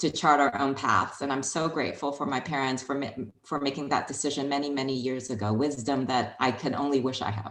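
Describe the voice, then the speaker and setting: Someone with a Chinese accent talks at a fairly quick pace, with audible room echo. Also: woman. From Hong Kong. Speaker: HR executive. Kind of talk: interview.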